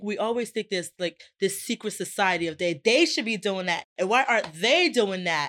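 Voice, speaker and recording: A woman with a Rhode Island accent speaks in an animated tone, the sound dry and close with no echo in a very clean recording with a silent background. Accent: Rhode Island American. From Providence, Rhode Island, US. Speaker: motivational speaker and entrepreneur. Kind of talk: casual interview.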